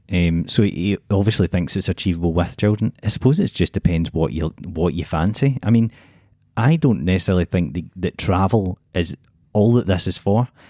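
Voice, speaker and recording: A man with a Glasgow accent speaks at a moderate pace in a very deep, low pitch with ordinary variation and a dark, mellow tone, recorded very cleanly against a silent background with a dry, close sound and no echo. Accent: Scottish (Glasgow). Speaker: podcast co-host. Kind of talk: casual chat.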